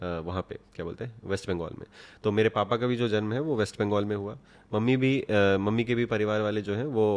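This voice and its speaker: Here is a normal speaking voice at a moderate pace with fairly even intonation. The background is quiet. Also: man, fairly low pitch for a man. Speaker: photographer and vlogger. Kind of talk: casual interview. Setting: at home. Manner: soft-spoken.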